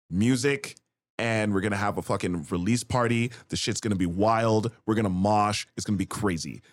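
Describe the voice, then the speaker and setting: This man has a medium-pitched, plain, everyday voice. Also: very clean recording, silent background. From Canada. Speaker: rapper. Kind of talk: casual chat.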